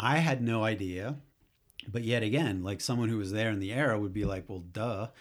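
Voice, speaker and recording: In a very clean recording with a silent background, a man with an American accent talks at a fairly quick pace in an ordinary speaking voice, fairly low in pitch with ordinary pitch variation. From US Northeast. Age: 40s. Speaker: author. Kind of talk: casual interview conversation.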